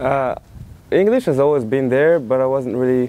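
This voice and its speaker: A man's voice, dark and mellow in tone, moves with fairly even intonation. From Morocco, Casablanca. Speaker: college tennis player. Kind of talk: interview. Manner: halting, many repeats and fillers.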